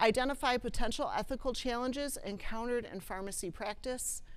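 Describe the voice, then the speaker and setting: With an American accent, the speaker talks at a fairly quick pace with ordinary pitch variation amid audible room echo. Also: woman. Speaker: clinical ethicist and former nurse practitioner. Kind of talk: lecture. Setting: presentation room with live audience. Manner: loud.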